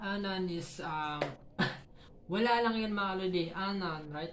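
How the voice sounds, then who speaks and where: A woman's medium-pitched voice with audible room echo and noticeable background noise. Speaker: YouTube vlogger giving tips to other creators. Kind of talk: casual tutorial vlog. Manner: halting, stumbling over words.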